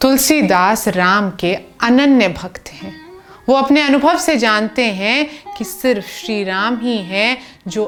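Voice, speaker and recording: A woman speaks with ordinary pitch variation while noticeable background noise fills the recording. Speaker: dastango storyteller. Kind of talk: dastangoi storytelling narration. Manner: expressive, earnest storytelling.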